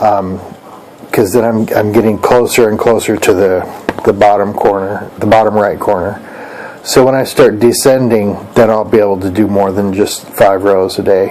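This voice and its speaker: Someone speaks quietly at a moderate pace in a flat monotone, with noticeable background noise and audible room echo. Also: man, fairly low pitch for a man. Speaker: crafts vlogger. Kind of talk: casual vlog monologue. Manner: quiet, talking low; halting, many fillers.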